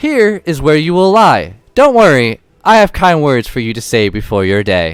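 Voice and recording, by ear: Putting on a character voice, a man speaks at a fairly high pitch with very wide pitch swings. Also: moderate pace.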